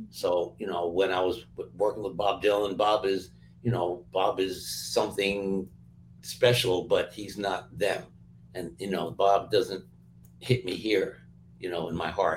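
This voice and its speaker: A man with an American accent speaks at a fairly slow pace and fairly low pitch. His intonation is fairly even and his voice somewhat breathy. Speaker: music producer. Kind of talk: casual interview chat.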